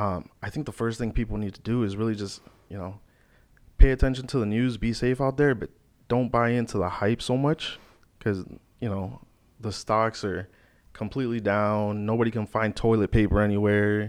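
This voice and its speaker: A man speaks with an ordinary speaking voice, fairly low in pitch, at a moderate pace. His intonation stays fairly even while his loudness swings widely. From Florida (Naples), from middle school; born in Chicago. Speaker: mortgage loan officer. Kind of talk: podcast interview.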